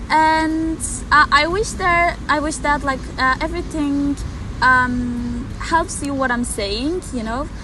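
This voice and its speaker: With a Turkish accent, a woman uses a raised, projected voice at a high pitch and fairly slow pace, with ordinary pitch variation, audible room echo and noticeable background noise. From Turkey. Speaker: exchange student. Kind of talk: interview. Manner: halting.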